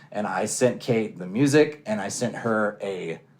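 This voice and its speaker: This man speaks in a fairly low pitch. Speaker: musician. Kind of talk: interview. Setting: in person. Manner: casual.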